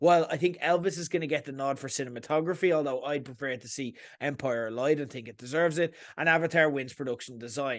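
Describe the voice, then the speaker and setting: A man with an Irish accent talks fairly quickly in an animated tone, his pitch fairly high with ordinary variation. The background is quiet. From Ireland. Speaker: podcast host, film commentator. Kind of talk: opinionated monologue.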